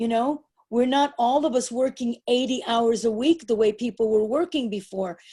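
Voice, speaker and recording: A woman with an American accent speaks in a dark, mellow tone at a fairly high pitch with ordinary pitch variation. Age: 70s. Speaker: performance artist. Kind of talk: interview.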